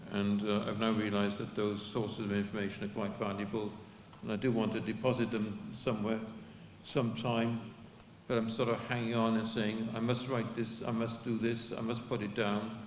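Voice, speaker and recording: Audible room echo surrounds a man speaking at a fairly quick pace in a monotone, flat intonation at a medium pitch. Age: 70s. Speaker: activist giving a history talk. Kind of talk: talk to an audience with Q&A. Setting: public event with audience. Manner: halting, with many repeats.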